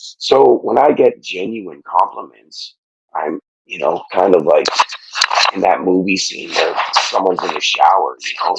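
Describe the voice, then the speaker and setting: A man talks quietly at a fairly slow pace. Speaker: podcast guest, fitness challenge winner. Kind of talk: emotional interview testimony. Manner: halting, many fillers and restarts.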